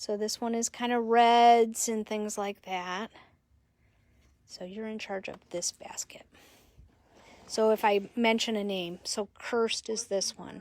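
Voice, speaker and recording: A woman speaks at a fairly slow pace in a fairly high pitch, her intonation monotone and flat, with long, frequent pauses and a dry, close sound with no echo. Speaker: yarn shop owner. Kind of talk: live stream sales presentation.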